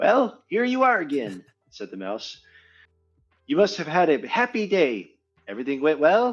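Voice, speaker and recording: Using a put-on character voice, a man sounds squeaky and high-pitched. He keeps a moderate pace but leaves long, frequent pauses. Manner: storytelling.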